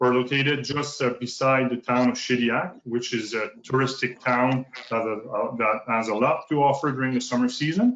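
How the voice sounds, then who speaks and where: Keeping his intonation fairly even, a man speaks at a moderate pace. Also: medium pitch for a man. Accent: slight French Canadian. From northern New Brunswick, Canada (francophone). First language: French. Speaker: provincial park manager. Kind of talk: conference presentation. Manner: halting.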